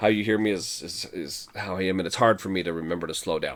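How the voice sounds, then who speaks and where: The man's words come out at a very fast pace. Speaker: game tutorial presenter. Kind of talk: gameplay walkthrough talk.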